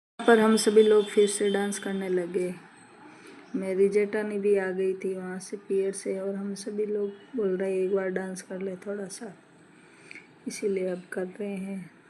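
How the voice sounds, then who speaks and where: Audible room echo surrounds a woman speaking at a medium pitch and a fairly slow pace. Her intonation is monotone and flat, while her loudness swings widely. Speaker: vlogger. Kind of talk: vlog narration.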